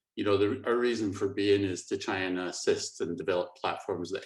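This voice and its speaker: A man speaks with a Scottish accent. His pace is moderate. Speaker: company managing director. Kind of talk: webinar presentation.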